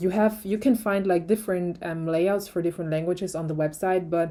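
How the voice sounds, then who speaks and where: In a non-native accent, a woman speaks with a dark, mellow tone and fairly even intonation. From Germany. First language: German. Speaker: tech YouTuber. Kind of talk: product review. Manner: hesitant, many fillers.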